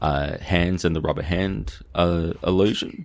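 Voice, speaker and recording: On a very clean recording with a silent background, a man with an Australian accent speaks in a very deep, low voice. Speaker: consciousness researcher. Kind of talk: casual academic discussion.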